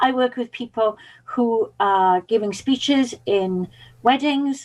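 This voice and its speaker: Speaking with a Welsh accent at a fairly slow pace, the voice shows ordinary pitch variation. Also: woman. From Wales (Pembrokeshire). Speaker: public speaking and mindset coach. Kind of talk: podcast interview.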